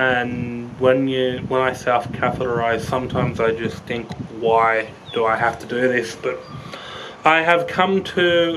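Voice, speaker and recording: Against noticeable background noise, a man with an Australian accent speaks at a fairly slow pace. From Brisbane, Queensland, Australia. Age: 30s. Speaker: vlogger sharing a health story. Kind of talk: casual vlog talk to camera. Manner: hesitant, casual. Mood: reflective, a little weary. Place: open country. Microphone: phone near.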